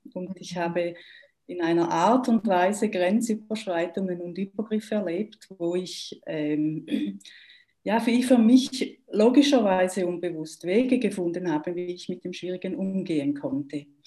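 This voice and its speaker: A woman speaks with a Swiss German accent at a medium pitch and with lively intonation. Her loudness swings widely. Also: fairly slow pace. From German-speaking Switzerland. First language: Swiss German (speaking German). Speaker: trauma therapist. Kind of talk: interview.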